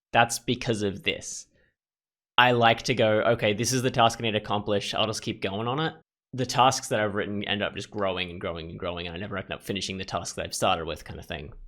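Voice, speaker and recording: Over a very clean recording with a silent background, a man talks at a very fast pace with a fairly low pitch, ordinary pitch variation and big swings in loudness. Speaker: gaming YouTuber. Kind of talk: casual commentary on a personality quiz. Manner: halting, with repeated words.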